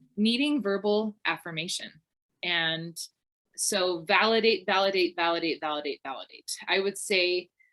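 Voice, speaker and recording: A woman's unremarkable speaking voice, medium in pitch with ordinary pitch variation, keeps a moderate pace. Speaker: personality and learning style mentor. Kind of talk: class presentation.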